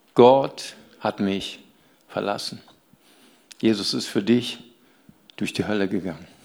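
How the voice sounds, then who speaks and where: In a room with audible echo, a man with a fairly low pitch speaks at a very slow pace, using ordinary pitch variation and long, frequent pauses. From Rhineland, Germany. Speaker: pastor. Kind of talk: sermon. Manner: animated.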